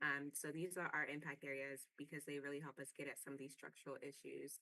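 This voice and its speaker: The tone is bright and sharp. Intonation stays flat and monotone. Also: woman. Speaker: panelist from advocacy network. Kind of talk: webinar presentation. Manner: fast; filler-heavy, many ums and you knows.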